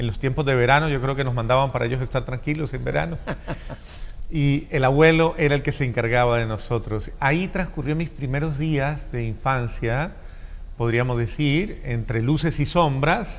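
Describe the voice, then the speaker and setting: With audible room echo, a man with a Colombian accent speaks at a moderate pace, his medium pitch showing ordinary variation. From Colombia, Cali. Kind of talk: interview. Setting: church.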